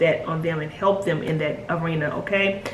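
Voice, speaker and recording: Speaking at a moderate pace, a woman is heard with audible room echo and noticeable background noise. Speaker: spiritual guide and numerologist. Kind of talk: video monologue. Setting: at home, puppy crate nearby. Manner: soft, hushed.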